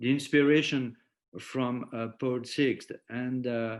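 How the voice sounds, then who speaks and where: A man's medium-pitched voice at a fairly slow pace, fairly even intonation, very clean recording with a silent background. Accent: French. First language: French. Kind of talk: lecture. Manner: halting, many repetitions and fillers.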